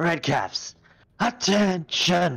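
Someone shouts in a put-on character voice. The pitch sits in the middle range. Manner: yelling a command.

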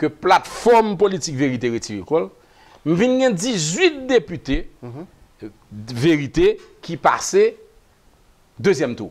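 A man's high-pitched voice at a very slow pace, with very wide pitch swings and long, frequent pauses. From Haiti. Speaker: politician. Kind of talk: talk show interview. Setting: studio. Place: studio. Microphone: lapel.

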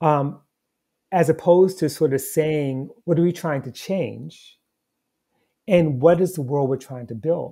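A man's fairly high-pitched, dark, mellow and somewhat breathy voice against a quiet background. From United States. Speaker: historian and professor; guest. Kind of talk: interview conversation. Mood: thoughtful, earnest. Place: home room. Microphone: earbuds.

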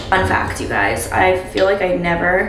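A woman speaks at a very slow pace, with audible room echo and light background noise. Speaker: lifestyle vlogger. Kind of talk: casual vlog chat. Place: bathroom. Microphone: camera far.

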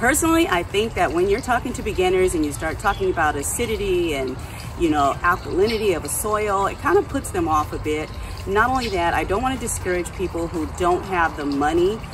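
There is noticeable background noise. Through it, a woman talks at a moderate pace. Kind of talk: casual vlog chat. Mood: friendly, relaxed. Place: garden. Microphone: camera far.

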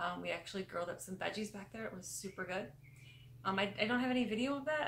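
Very fast speech from a woman, ordinary pitch variation, light background noise behind. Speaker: travel vlogger. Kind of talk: casual vlog chat. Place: home room. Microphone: phone near.

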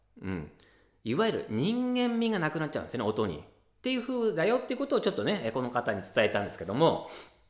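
A man talks very fast at a high pitch, with very wide pitch swings. The background is quiet, though room echo is audible. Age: 40s. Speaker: ocarina teacher and channel host; ocarina teacher, channel host. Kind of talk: casual tutorial talk to camera. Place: home room.

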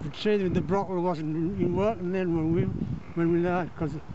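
A high-pitched man speaks with fairly even intonation. The sound is dry with no echo, yet loud background noise is present. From County Durham. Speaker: retired coal miner. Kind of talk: interview answer, reminiscing. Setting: outdoors. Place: open country. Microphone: phone near.

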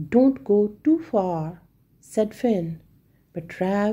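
The clip features reading aloud in a natural voice.

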